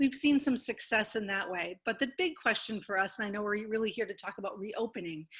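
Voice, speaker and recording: Over a quiet background, a woman in an ordinary speaking voice talks at a fairly quick pace, with a fairly high pitch and ordinary pitch variation. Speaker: museum director. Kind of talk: panel discussion. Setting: video call.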